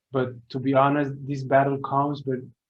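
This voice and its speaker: A medium-pitched man at a moderate pace, with audible room echo. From Sweden. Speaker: artist and music producer. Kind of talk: testimony. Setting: speaking to students. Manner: halting, many repeated words.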